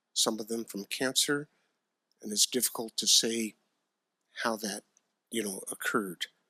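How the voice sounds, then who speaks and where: A man with an American accent speaks at a moderate pace and medium pitch, his bright, sharp tone and fairly even intonation captured in a dry, close sound with no echo. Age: 60s. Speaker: county supervisor, retired firefighter. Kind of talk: public meeting remarks. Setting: board meeting chamber. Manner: halting, many fillers.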